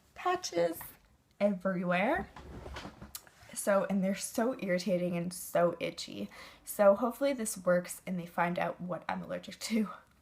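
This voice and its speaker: Against noticeable background noise, a woman at medium pitch talks at a moderate pace with ordinary pitch variation and long, frequent pauses. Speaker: beauty vlogger. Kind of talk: casual chat.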